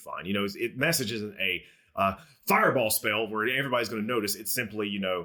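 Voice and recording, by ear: Here the text is read aloud. It comes in a natural voice.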